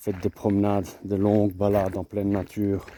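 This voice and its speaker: A soft-spoken man talks at a moderate pace, his pitch fairly low and his tone dark and mellow. The recording is very clean with a silent background. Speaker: vlogger, boxing coach. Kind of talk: casual vlog monologue. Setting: outdoors. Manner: halting, repetitive.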